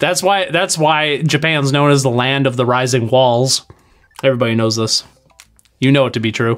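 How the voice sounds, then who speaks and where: Over music in the background, a voice with a slight Wisconsin accent and an animated tone moves at a moderate pace, with ordinary pitch variation and very even loudness. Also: man, medium pitch for a man. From Wisconsin, US Midwest. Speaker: game streamer. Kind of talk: live game stream chat. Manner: animated, casual.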